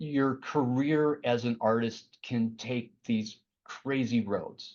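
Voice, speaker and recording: Speaking very slowly with a Chicago accent, a man keeps a medium pitch and fairly even intonation. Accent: Midwest Chicago. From US Midwest, Chicago area. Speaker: art director and painter. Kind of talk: career talk to students. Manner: halting, many fillers.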